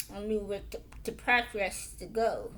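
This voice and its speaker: A woman speaks with an American accent. Room echo is audible. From Illinois, US. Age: 40s. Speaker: motivational vlogger. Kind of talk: personal testimony. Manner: halting, with fillers.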